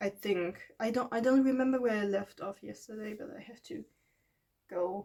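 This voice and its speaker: A woman's fairly high, dark, mellow voice with a non-native accent, ordinary pitch variation, big swings in loudness and a moderate pace. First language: not English. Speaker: art vlogger. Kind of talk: casual monologue. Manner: rambling, halting with fillers; stumbles over words.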